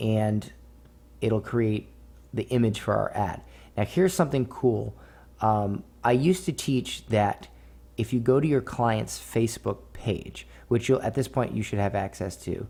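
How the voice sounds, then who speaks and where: Against a very clean recording with a silent background, a man speaks at a medium pitch with a dark, mellow tone. He is somewhat breathy, with ordinary pitch variation and long, frequent pauses. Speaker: online marketing instructor. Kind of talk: tutorial. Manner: slow, explanatory; casual, filler-heavy.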